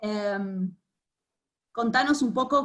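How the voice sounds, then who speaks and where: A woman's somewhat breathy, fairly high voice at a very slow pace, with ordinary pitch variation. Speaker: art curator moderating artist talk. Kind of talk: panel conversation. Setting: video call. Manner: halting.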